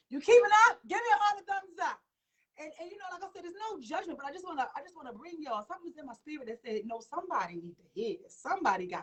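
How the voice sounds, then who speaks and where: A woman talks at a very fast pace in an animated tone. Her pitch swings very widely. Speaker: talk show host. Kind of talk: live stream talk show. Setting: live stream.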